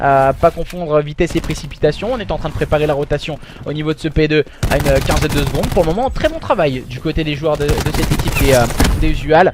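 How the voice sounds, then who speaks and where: Over noticeable background noise, an animated voice races along at a very fast pace. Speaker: esports caster. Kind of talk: live commentary. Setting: live stream.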